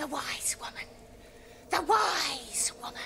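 Over clear background noise, a raspy, high-pitched, put-on character voice speaks at a fairly slow pace. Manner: eerie, spooky.

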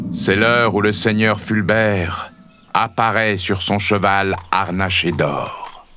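A man's dramatic tone at a very slow pace, with very even loudness over noticeable background noise. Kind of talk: scripted narration, children's story read aloud. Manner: dramatic, suspenseful storytelling; animated, varying voices for characters.

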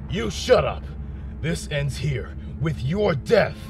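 A man performs a cartoonish character voice at a fairly slow pace. Clear background noise is heard behind him. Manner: defiant.

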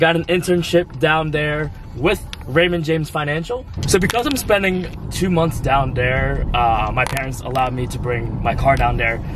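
A man's lively intonation at a moderate pace, with noticeable background noise and a dry sound with no echo. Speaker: vlogger. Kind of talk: casual vlog chat. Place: car.

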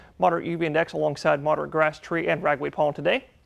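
Intonation moves in a lively way. The man speaks at a very fast pace. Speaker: weather forecaster. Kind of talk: weather report. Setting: TV studio. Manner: animated, cheerful, repeating 'lovely' and 'y'all'. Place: studio.

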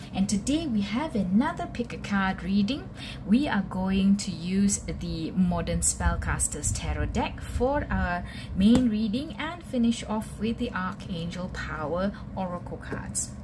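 A woman at a fairly slow pace, with noticeable background noise. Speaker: tarot reader. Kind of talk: tarot reading talk to viewers. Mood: warm, calm.

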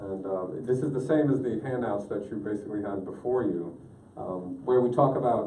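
A man speaks at a moderate pace. There is audible room echo and light background noise. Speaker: presenter. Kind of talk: presentation to an advisory group. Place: meeting room. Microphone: camera far.

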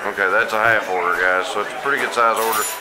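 A man talks while loud background noise fills the clip. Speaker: food vlogger. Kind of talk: casual vlog chat. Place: cafe. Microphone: phone near.

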